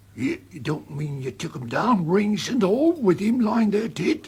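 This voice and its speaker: A man's high-pitched, put-on character voice at a moderate pace, with very wide pitch swings. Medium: audio drama.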